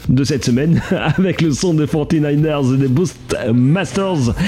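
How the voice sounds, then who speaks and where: A man with a fairly high voice speaks with lively intonation. Noticeable background noise runs behind him. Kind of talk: radio dj patter. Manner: animated, upbeat, teasing the next chart entries between tracks.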